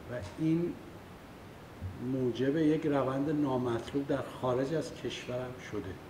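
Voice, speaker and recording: A man talks at a very slow pace in a medium pitch with an Isfahani accent. Room echo is audible. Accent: Isfahani Persian. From Iran, Isfahan. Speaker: political activist. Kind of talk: public talk. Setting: meeting hall with audience.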